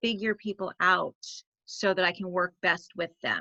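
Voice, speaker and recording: A woman speaks at a moderate pace in a medium pitch with monotone, flat intonation. Her tone is bright and sharp, and the sound is dry and close with no echo. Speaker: direct sales coach. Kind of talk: webinar presentation.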